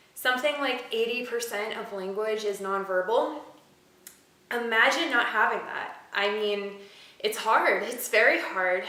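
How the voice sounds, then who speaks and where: A woman's fairly high voice at a fairly slow pace, with ordinary pitch variation, audible room echo and noticeable background noise. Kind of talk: personal vlog monologue. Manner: hesitant, many fillers.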